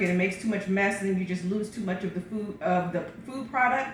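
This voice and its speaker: Fairly quick, medium-pitched speech from a woman, ordinary pitch variation throughout, plus audible room echo and noticeable background noise. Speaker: pastor sharing health routine. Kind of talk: casual vlog talk. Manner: fast; hesitant with fillers.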